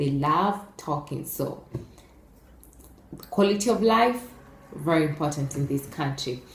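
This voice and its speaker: Speaking with an East African accent, a woman uses a very deep, low pitch and lively intonation at a fairly slow pace, with audible room echo. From Kenya. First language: Swahili. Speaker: YouTuber. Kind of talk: casual vlog talk. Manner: hesitant, many fillers.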